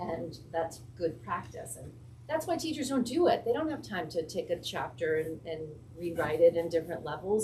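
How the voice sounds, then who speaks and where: A woman's voice makes very wide pitch swings at a moderate pace, with audible room echo and noticeable background noise. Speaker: school administrator presenting to school board. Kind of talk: presentation at public board meeting. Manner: animated.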